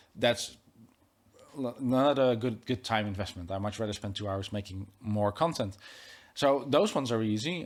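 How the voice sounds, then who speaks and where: A man with a Dutch accent on a very clean recording against a silent background. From Netherlands. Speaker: tech YouTuber and podcast host. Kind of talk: casual interview conversation. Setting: studio. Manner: hesitant, many fillers and restarts.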